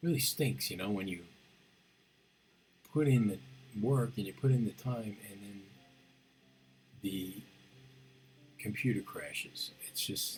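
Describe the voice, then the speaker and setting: A soft-spoken man with lively intonation and fairly low pitch, big swings in loudness, long frequent pauses, music in the background. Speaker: sculptor. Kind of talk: tutorial. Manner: halting.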